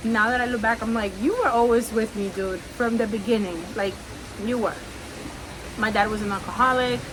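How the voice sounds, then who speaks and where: A woman with a Spanish accent, fairly high-pitched, at a moderate pace, amid noticeable background noise and audible room echo. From Cuba. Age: 30s. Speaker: podcaster. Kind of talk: personal testimony. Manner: relaxed, conversational.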